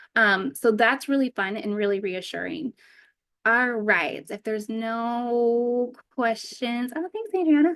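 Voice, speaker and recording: A woman's fairly high voice moves at a fairly slow pace, its pitch varying in an ordinary way. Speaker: trading trainer. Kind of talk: online training session.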